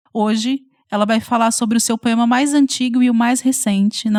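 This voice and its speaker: A woman's somewhat breathy, fairly high voice at a moderate pace, in a dry, close sound with no echo. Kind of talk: podcast host introduction.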